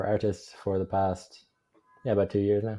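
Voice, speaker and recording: Fairly low-pitched man with an Irish accent and monotone, flat intonation. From Ireland. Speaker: remote sales closer. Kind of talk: interview.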